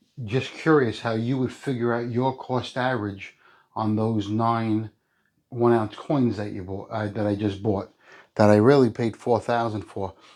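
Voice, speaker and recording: A man with a plain, everyday voice speaks at medium pitch and a fairly slow pace. His intonation is fairly even, against a quiet background. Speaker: coin collecting youtuber. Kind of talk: casual vlog talk to viewers.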